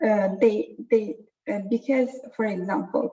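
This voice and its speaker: A woman with an Azerbaijani accent speaks at a fairly slow pace, her medium-pitched voice showing vocal fry. Her tone is dark and mellow. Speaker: data science trainer. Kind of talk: online workshop lecture. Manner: halting, many fillers.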